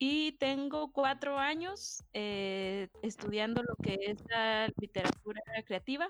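At a very slow pace yet with hardly any pauses, a woman with a fairly high pitch speaks with lively intonation. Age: 20s. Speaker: visual artist. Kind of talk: casual chat.

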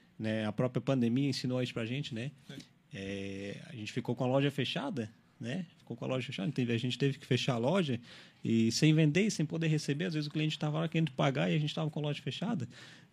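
Speech comes very fast from a man at medium pitch. His intonation is lively. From Araranguá, Santa Catarina, Brazil. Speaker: store manager. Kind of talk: radio interview. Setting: radio studio.

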